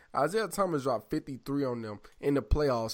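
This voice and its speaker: A very clean recording with a silent background captures a man with an American accent speaking at a medium pitch with ordinary pitch variation. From US South. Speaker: podcast co-host. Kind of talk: casual chat. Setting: studio with camera.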